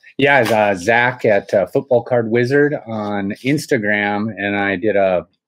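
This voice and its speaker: Using an ordinary speaking voice, a man with a fairly low pitch and ordinary pitch variation speaks at a fairly slow pace against a quiet background. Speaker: sports card hobby host. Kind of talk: casual vlog chat. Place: home room.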